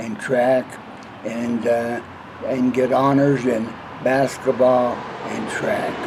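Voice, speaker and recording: A man with an American accent speaks at a very slow pace and medium pitch. His intonation is fairly even over noticeable background noise. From Colorado, Windsor. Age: 80s+. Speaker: retired utility worker. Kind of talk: oral history interview. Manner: halting.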